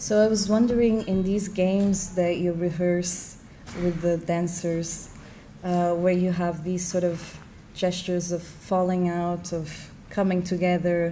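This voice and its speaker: In an Argentine accent, a woman with a fairly low pitch speaks with monotone, flat intonation, and audible room echo surrounds her voice. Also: fairly slow pace. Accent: Argentinian. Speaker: moderator. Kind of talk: panel conversation.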